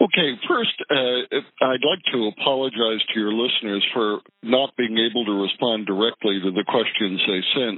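This man has a plain, everyday voice, medium in pitch, speaking at a moderate pace with ordinary pitch variation. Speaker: judge. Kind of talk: interview answering questions about law. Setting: phone call.

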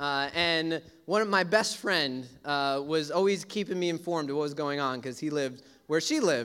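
A man with an American accent and lively intonation at a moderate pace, in a very clean recording with a silent background. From US Northeast (Brooklyn, New York). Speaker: pastor. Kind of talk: sermon.

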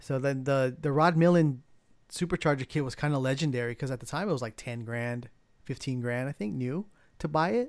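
Speaking at a fairly quick pace, a man uses a medium pitch with ordinary pitch variation, recorded very cleanly over a silent background. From San Diego, California. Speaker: car modifier. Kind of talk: casual chat. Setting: home studio.

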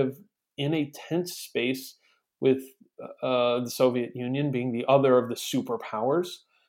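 Speaking at a fairly slow pace, a man with an ordinary speaking voice keeps a medium pitch and fairly even intonation. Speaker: podcast co-host. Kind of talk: casual chat.

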